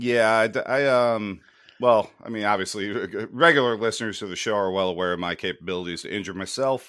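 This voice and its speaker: Speaking at a fairly quick pace, a man with an American accent has a normal speaking voice, fairly low in pitch, with ordinary pitch variation. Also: very clean recording, silent background. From USA. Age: 30s. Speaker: podcast host. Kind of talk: casual chat.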